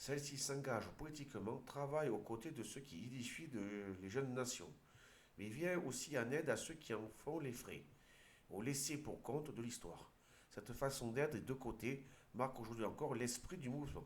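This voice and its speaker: At a moderate pace and in an Aude accent, the speaker shows ordinary pitch variation over audible room echo. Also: man, medium pitch for a man. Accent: southern French (Aude). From southern France, Aude. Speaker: video commentator. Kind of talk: commentary with reading aloud. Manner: halting, with hesitations.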